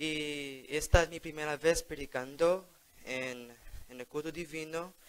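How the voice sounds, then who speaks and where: A man with an English accent speaks at a fairly slow pace and fairly high pitch, his intonation fairly even but his loudness swinging widely. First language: English (speaking Spanish). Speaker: lay preacher. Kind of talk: sermon. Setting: church.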